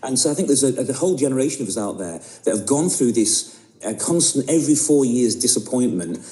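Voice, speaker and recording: A man with a medium pitch and lively intonation talks very fast over noticeable background noise. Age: 60s. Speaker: author and spoken word poet. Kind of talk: radio interview. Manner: halting, many repetitions.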